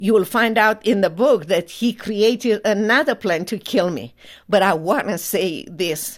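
In a Romanian accent, a woman speaks with lively intonation. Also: very clean recording, silent background. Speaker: human rights attorney. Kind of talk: testimony.

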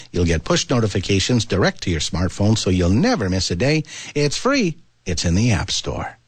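Lively intonation marks this man's fairly low, somewhat breathy voice. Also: moderate pace, very even loudness. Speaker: radio host. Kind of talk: radio announcer. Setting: studio. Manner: formal.

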